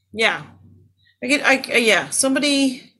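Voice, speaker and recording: There is ordinary pitch variation in the woman's bright, sharp tone. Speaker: stand-up comedian. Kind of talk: casual chat.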